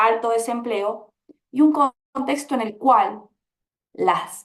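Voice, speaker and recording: A woman speaks with an Argentine accent and noticeable vocal fry. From Argentina. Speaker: labor researcher, panelist. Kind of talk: panel discussion.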